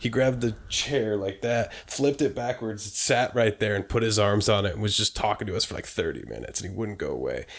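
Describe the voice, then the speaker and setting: Noticeable background noise sits behind a man's voice. He talks at a fairly quick pace with hardly any pauses. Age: 20s. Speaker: podcast co-host. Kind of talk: casual chat. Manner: animated.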